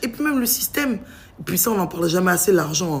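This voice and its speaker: A woman's very fast speech with very wide pitch swings over music in the background. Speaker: vlogger. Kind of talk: casual vlog rant. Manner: animated.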